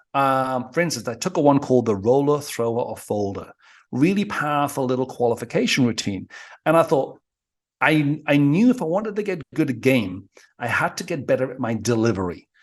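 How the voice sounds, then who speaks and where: Lively intonation runs at a fairly quick pace over a quiet background. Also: man, fairly high pitch for a man. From northeast England (Newcastle area). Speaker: dating coach. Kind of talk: casual chat. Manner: fast.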